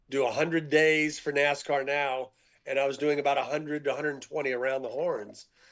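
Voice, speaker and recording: Here a man speaks at a fairly quick pace with a fairly high pitch. His intonation is monotone and flat. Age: 70s. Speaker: sports columnist and TV panelist. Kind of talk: casual chat.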